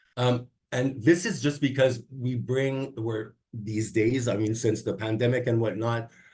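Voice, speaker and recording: Somewhat breathy, a man's voice moves at a fairly slow pace. His medium pitch holds a fairly even intonation. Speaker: public service presenter on workplace ethics. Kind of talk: online training presentation.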